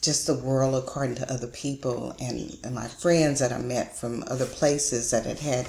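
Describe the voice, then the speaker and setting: Over noticeable background noise, a woman with an American accent talks at a moderate pace in a very deep, low pitch with monotone, flat intonation. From Austin, Texas. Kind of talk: interview answer.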